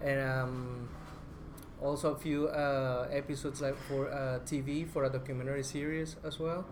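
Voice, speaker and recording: In a Spanish accent, a man with a fairly high pitch speaks at a moderate pace with monotone, flat intonation. Audible room echo surrounds his voice. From Colombia, Bogota. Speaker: documentary filmmaker. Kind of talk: media roundtable talk.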